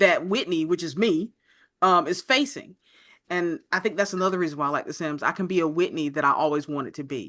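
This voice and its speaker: A woman with a plain, everyday voice and an American accent, fairly low in pitch, with lively intonation at a fairly quick pace, in a very clean recording with a silent background. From North Carolina. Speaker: video game content creator. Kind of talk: interview.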